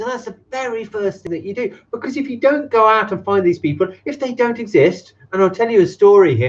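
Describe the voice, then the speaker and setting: Speaking at a fairly quick pace, a man talks with an English accent. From England. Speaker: business consultant. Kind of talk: live stream talk to camera. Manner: casual, energetic, profane.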